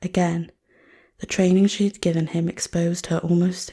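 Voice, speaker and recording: Soft-spoken whispering moves at a moderate pace on a very clean recording with a silent background. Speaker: ASMR reader. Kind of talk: audiobook-style reading of novel text. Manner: soft-spoken, relaxing, whispery.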